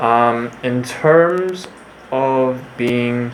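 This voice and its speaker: Audible room echo and noticeable background noise surround a man speaking at a medium pitch with ordinary pitch variation. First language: Korean (bilingual with English). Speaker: book reviewer / YouTuber. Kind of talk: casual monologue book review. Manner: halting, many fillers.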